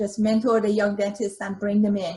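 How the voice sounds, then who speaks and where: Pitched at a medium level, a woman talks with a slight Iranian accent. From Iran, Tehran. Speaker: dentist, dental society president. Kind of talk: interview. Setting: video call. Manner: hesitant, many fillers.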